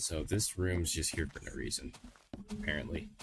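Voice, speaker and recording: Amid noticeable background noise, a man with a very deep, low pitch speaks at a moderate pace with lively intonation. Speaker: gaming streamer. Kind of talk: casual live-stream commentary while gaming. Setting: home livestream on a laptop. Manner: casual, hesitant, thinking aloud. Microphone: laptop microphone.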